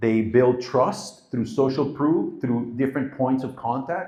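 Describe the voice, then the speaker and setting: A man's somewhat breathy, dark, mellow voice at medium pitch, with ordinary pitch variation and a moderate pace. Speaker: marketing agency founder giving a talk. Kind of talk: live presentation to an audience. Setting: stage with audience.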